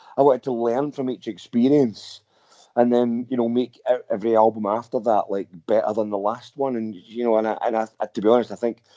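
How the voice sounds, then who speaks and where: Talking at a fairly quick pace with a Scottish accent, a man keeps a medium pitch and a dark, mellow tone, his intonation monotone and flat, in a dry, close sound with no echo. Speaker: rock singer and guitarist. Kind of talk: interview. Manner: halting, many repeated words.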